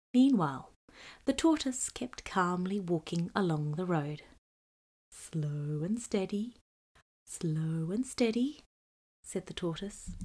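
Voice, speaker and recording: A woman speaks at a very slow pace with long, frequent pauses. Her medium-pitched voice is somewhat breathy and swings very widely in pitch. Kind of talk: children's storybook reading, scripted narration with character voices. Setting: audio book with page-turn chime. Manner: clear, steady, child-friendly pacing.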